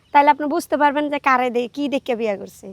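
A high-pitched woman is heard in a dry, close sound with no echo, on a very clean recording with a silent background. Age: young. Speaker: interviewee in a street interview. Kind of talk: casual interview. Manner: animated.

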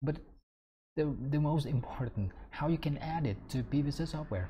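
A man speaks at a fairly slow pace in a somewhat breathy voice with a dark, mellow tone. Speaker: software tutor. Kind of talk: tutorial. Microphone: webcam.

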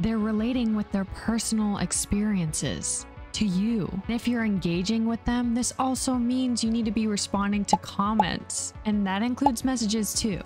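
A woman's fairly high-pitched voice at a moderate pace, fairly even in intonation, with hardly any pauses and faint music in the background. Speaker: content creator. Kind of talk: casual talk to camera. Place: home room. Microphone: studio mic.

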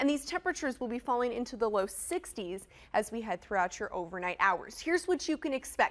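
An upbeat, high-pitched woman at a fairly quick pace. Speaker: TV meteorologist. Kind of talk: broadcast TV weather forecast, reading maps and city temperatures to camera. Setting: TV studio. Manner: brisk, polished newscaster cadence with upbeat emphasis; reassuring but cautionary when flagging heavy rain.

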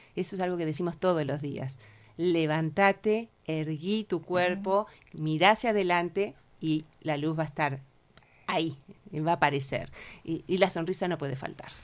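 A woman talks with a Uruguayan accent. Her pitch sits fairly low. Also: ordinary pitch variation, moderate pace. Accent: Rioplatense Spanish (Uruguayan). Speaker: cancer support group co-founder. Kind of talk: radio interview. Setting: radio studio.

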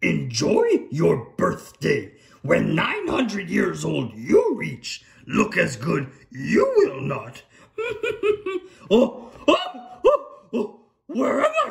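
Speaking in a cartoonish character voice, a man goes at a very slow pace with long, frequent pauses. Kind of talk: comedy puppet sketch. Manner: inverted word order, croaky, ponderous.

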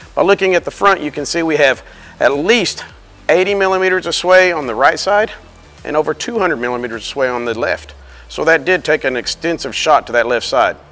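A man speaks at a fairly quick pace while faint music plays in the background. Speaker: repair trainer. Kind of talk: tutorial. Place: workshop.

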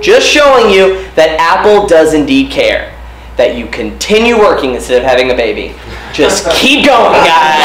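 Noticeable background noise sits behind the voice. A man talks at a moderate pace. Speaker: comedy host. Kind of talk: stand-up style news jokes monologue. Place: stage.

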